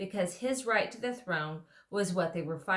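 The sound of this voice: Lively intonation colors an unforced reading voice.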